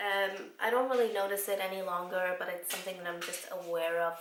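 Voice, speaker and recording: A woman speaks with an Icelandic accent. The room echo is audible, and there is noticeable background noise. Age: 20s. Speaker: vlogger. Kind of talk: casual chat.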